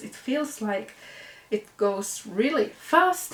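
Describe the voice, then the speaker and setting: Noticeable background noise surrounds speech delivered with lively intonation. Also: woman. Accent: Finnish. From Finland. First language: Finnish. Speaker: knitting podcaster. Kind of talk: casual vlog show-and-tell. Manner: casual with hesitations.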